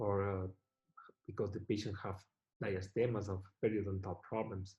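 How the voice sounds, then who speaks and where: A man with a non-native accent speaks at a moderate pace. His tone is dark and mellow, and somewhat breathy. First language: not English. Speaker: dental technician lecturer. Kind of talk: lecture.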